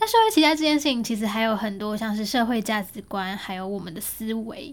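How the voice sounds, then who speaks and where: This woman talks at a fairly quick pace, her fairly high voice rising and falling in lively intonation. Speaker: podcast host. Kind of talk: solo podcast monologue, unscripted. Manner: casual, conversational.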